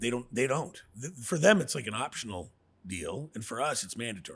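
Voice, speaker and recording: Fairly quick, lively speech from a man at medium pitch, with a Canadian accent. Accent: Canadian, noticeable to Americans ("abouts"). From New Brunswick, Canada (Riverview). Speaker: radon mitigation business owner. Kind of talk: casual interview chat. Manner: fast, with repetitions and self-corrections.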